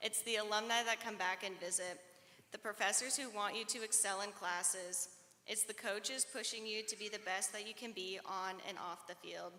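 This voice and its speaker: Against noticeable background noise, a woman with an American accent speaks at a moderate pace, her medium pitch fairly even in intonation. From Iowa, US Midwest. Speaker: student speaker. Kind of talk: commencement speech.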